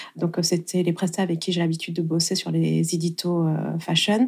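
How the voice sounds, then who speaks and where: Fairly low for a woman, her somewhat breathy voice has a dark, mellow tone and moves at a moderate pace in a very clean recording with a silent background. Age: 30s. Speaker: wedding photographer. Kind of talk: interview.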